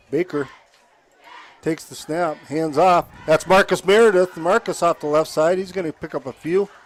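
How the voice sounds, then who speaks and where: There is noticeable background noise. A man speaks at a moderate pace with a fairly high pitch. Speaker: play-by-play announcer. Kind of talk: live commentary.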